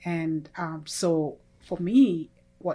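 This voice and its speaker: A woman with a Kenyan accent speaks at a fairly low pitch. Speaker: church member sharing testimony. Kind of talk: testimony.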